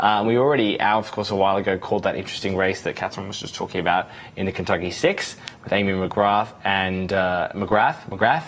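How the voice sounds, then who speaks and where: Here a man speaks with an Australian accent at a fairly quick pace, his pitch fairly low and his intonation fairly even. Noticeable background noise can be heard. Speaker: news livestream host. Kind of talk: live election night panel discussion.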